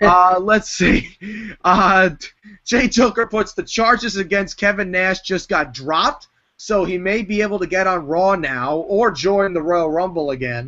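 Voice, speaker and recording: Speaking in a New York accent, a man with a high pitch talks at a fairly slow pace with ordinary pitch variation. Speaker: wrestling entertainer. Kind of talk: casual chat.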